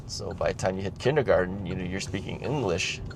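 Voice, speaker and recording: Noticeable background noise sits behind a man with an American accent and a fairly low pitch. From United States. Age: 60s. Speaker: retired vlogger. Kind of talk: casual vlog monologue. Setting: in a car. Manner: hesitant, many fillers.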